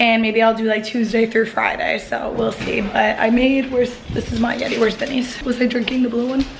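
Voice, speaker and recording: Amid noticeable background noise and audible room echo, a woman speaks fairly quickly with hardly any pauses, keeping her fairly high pitch monotone and flat. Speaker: vlogger. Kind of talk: casual vlog talk. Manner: casual, filler-heavy.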